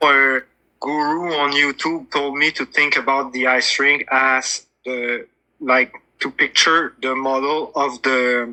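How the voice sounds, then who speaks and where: With a strong French Canadian accent, a man speaks very slowly in a fairly high pitch with a bright, sharp tone and monotone, flat intonation. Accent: big French Canadian. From Quebec, Montreal. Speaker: flat earth debater. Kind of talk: debate. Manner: halting, searching for words.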